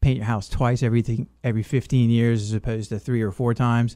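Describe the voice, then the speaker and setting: A man's medium-pitched, dark, mellow voice at a fairly quick pace, monotone and flat, on a very clean recording with a silent background. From England, moved to US South at ten. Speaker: painting contractor, military veteran. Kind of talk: radio interview.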